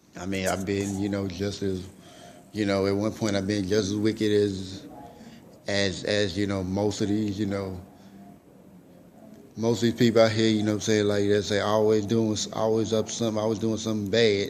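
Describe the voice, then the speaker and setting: A man with a fairly low pitch and monotone, flat intonation, moving at a moderate pace with long, frequent pauses amid audible room echo. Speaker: vlogger. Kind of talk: motivational vlog monologue. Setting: public library room. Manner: halting, many fillers and repetitions.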